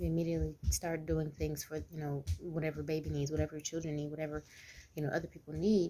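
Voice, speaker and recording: Soft-spoken, a woman talks with a very deep, low pitch and a dark, mellow tone. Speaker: mom and business owner vlogger. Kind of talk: informal talking-head vlog. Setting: at home, early morning. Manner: quiet, soft-spoken; informal, many fillers.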